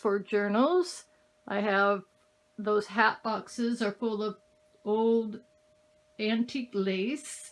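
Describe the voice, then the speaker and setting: Very slow speech from a woman, her pitch fairly high and varying in an ordinary way. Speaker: craft hobbyist and channel owner. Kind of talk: casual home tour. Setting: home craft room. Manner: straining to speak loudly; hesitant, with fillers.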